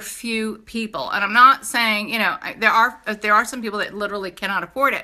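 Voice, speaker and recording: In a New York accent, a woman speaks at a moderate pace with a raised, projected voice, a bright, sharp tone and an animated delivery, on a very clean recording with a silent background. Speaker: direct sales entrepreneur. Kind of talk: sales pitch. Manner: animated, casual.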